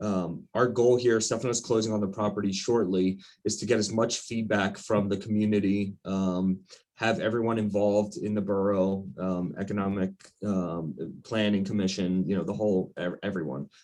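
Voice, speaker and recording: A man with an American accent, fairly low pitch, fairly even intonation and an unremarkable speaking voice. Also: moderate pace. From Wyomissing, Pennsylvania. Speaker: attorney. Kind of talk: committee meeting.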